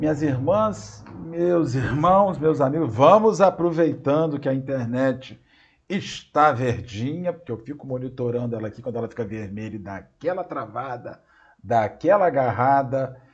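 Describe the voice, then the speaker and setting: With a somewhat breathy voice, a man speaks at medium pitch and a moderate pace, his intonation lively and his loudness swinging widely. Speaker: spiritist lecturer. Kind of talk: lecture. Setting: video call. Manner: halting, repeated syllables. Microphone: unstable internet connection.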